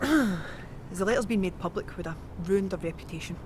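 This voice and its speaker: A woman of medium pitch speaks with a Scottish accent. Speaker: tour guide. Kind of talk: historical walking-tour narration to camera. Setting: outdoors.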